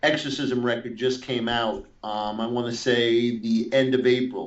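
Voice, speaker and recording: In a New York accent, a man speaks at a fairly slow pace in a flat, monotone voice of medium pitch. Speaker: metal guitarist and guitar teacher. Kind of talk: interview. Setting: Skype call. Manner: halting, many fillers and restarts.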